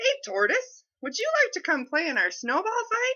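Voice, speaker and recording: A woman puts on a squeaky character voice at an extremely high pitch. She speaks at a moderate pace. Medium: read story. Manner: cheerful.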